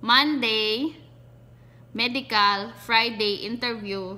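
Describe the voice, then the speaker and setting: Speaking at a very slow pace, a woman has a fairly high voice. Her tone is bright and sharp, with ordinary pitch variation. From Visayas, Philippines. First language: Cebuano (Bisaya) (speaking Tagalog). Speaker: vlogger. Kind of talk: casual vlog, personal experience tutorial. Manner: halting, self-correcting.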